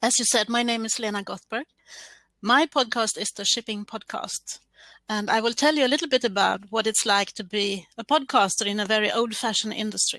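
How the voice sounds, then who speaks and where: A woman's fairly high, bright, sharp voice with a Swedish accent, ordinary pitch variation and a fairly quick pace, dry and close with no echo. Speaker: podcaster. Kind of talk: scripted presentation. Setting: online stream.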